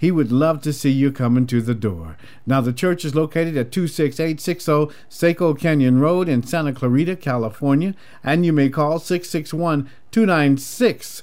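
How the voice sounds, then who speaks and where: A man with a normal speaking voice and a fairly high pitch talks at a moderate pace. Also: ordinary pitch variation. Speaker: gospel radio host. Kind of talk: radio dj patter. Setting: radio station. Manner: warm, smooth, upbeat announcer delivery, rattling off show plugs and ad copy.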